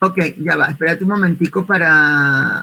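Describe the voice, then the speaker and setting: A woman with a Venezuelan accent, fairly low pitch, fairly even intonation and a very slow pace. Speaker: social communicator and volunteer project trainer. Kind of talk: online workshop presentation.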